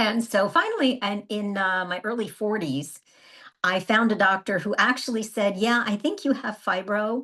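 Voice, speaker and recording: A woman speaks at a moderate pace with medium pitch and lively intonation in an ordinary speaking voice. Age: 60s. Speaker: wellness coach. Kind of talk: casual chat.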